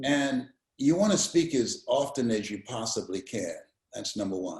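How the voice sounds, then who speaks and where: A man's somewhat breathy, fairly high voice at a moderate pace. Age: 70s. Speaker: motivational speaker. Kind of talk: interview answer. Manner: energetic.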